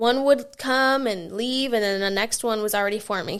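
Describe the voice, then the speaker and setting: On a very clean recording with a silent background, a woman talks at a fairly quick pace. Her pitch is fairly high with ordinary variation. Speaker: podcast host. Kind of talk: casual solo podcast talk. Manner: halting, many fillers.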